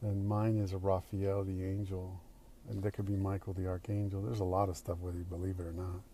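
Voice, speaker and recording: A man with a dark, mellow tone and a very deep, low pitch speaks fairly quickly in a somewhat breathy, monotone, flat delivery. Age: 60s. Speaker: actor. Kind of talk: recorded personal video message answering questions. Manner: halting.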